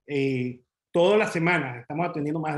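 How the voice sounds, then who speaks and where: A very fast pace with ordinary pitch variation. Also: man. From Venezuela. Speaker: commercial real estate advisor. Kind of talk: webinar presentation.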